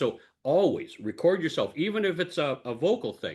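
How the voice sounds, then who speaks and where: The background stays quiet. A man speaks at a moderate pace, his pitch swinging very widely. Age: 70s. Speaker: public speaker and speaking coach. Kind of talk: interview answer.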